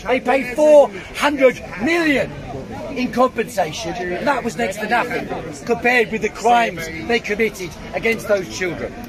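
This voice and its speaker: A man with a London accent speaks at an extremely high pitch for a man, at a moderate pace with ordinary pitch variation. He takes long, frequent pauses while crowd noise sounds in the background. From South London. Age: 60s. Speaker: debater. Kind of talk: heated debate.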